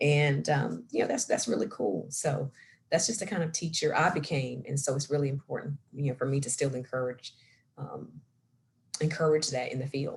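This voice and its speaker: Her very deep, low pitch pairs with lively intonation as the woman speaks at a moderate pace in a somewhat breathy voice. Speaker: science center program director, former chemistry teacher. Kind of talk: career talk interview. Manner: animated.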